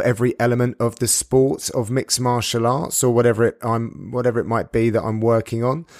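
A man with a British accent speaks at a fairly quick pace and medium pitch in a very clean recording with a silent background. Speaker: sports commentator. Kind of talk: podcast monologue.

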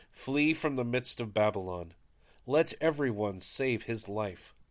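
A man speaks in an unremarkable speaking voice. His intonation is lively. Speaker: podcast host leading daily prayer. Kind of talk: reading aloud and liturgical prayer. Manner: solemn, reverent.

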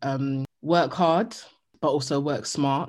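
On a very clean recording with a silent background, a woman speaks fairly slowly with a very deep, low pitch. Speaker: journalist. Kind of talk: interview. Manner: loud; animated.

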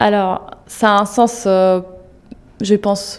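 A woman speaks with an Italian accent at medium pitch. Her intonation is fairly even. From Italy. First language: Italian (speaking French). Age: 30s. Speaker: digital advertising manager. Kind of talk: interview. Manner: halting, frequent hesitations.

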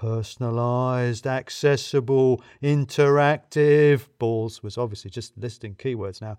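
With an unremarkable speaking voice, a man talks at a fairly slow pace and medium pitch, his intonation fairly even and hardly any pauses. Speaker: audiobook narrator. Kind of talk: literary audiobook reading, first-person narration. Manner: conversational, dry humour with clear pacing.

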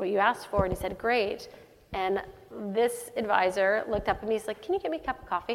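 Amid noticeable background noise, a woman with an American accent speaks at a fairly quick pace, her medium pitch carried by fairly even intonation. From Texas, Dallas. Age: 40s. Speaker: tech company CEO. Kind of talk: onstage interview. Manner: halting, many fillers.

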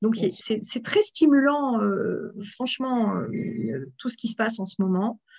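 A woman speaks at a very slow pace. Her voice sits fairly high. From France, Aveyron then Paris. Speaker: association president. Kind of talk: interview. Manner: animated; hesitant, many fillers.

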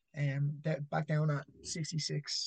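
A man with an Irish accent, a fairly high pitch and a somewhat breathy voice. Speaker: amateur MMA fighter. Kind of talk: casual chat.

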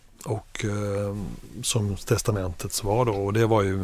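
This man's intonation stays flat and monotone. He talks at a fairly slow pace. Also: very clean recording, silent background. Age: 50s. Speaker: media executive and family business owner. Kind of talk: interview. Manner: halting.

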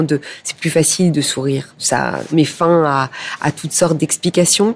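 At a fairly slow pace, a woman talks with fairly even intonation and a very deep, low pitch. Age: 50s. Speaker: public relations director in fashion. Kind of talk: interview.

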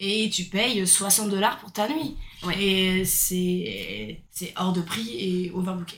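The speaker talks at a very slow pace with ordinary pitch variation. Audible room echo surrounds the voice. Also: woman, medium pitch for a woman. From France, Brittany. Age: 30s. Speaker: nurse and backpacker. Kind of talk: casual chat.

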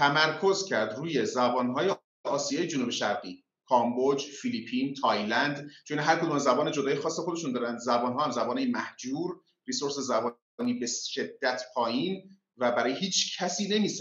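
A man with an unremarkable speaking voice talks at a moderate pace with a fairly high pitch and lively intonation. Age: 40s. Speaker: tech entrepreneur. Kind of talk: casual interview.

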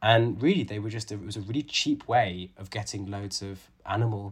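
A man speaks at a moderate pace in a fairly low, somewhat breathy voice with ordinary pitch variation and big swings in loudness, recorded very cleanly against a silent background. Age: 30s. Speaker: author and conservation biologist. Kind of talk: interview.

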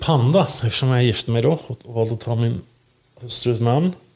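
This man has a normal speaking voice with ordinary pitch variation. He talks at a moderate pace and a medium pitch. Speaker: podcast co-host. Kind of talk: casual chat. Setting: recording in Linköping.

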